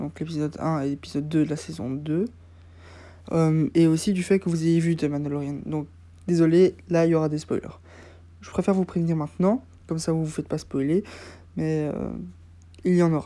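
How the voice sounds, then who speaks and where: Speaking at a moderate pace with long, frequent pauses, a woman uses a very deep, low pitch and a dark, mellow tone with fairly even intonation. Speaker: YouTuber reviewing TV episodes. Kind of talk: casual review monologue. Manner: hesitant, many fillers.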